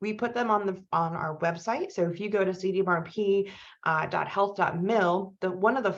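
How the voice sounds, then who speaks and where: In a plain, everyday voice, a woman speaks at a medium pitch and a moderate pace. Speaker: research program manager. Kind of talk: webinar presentation.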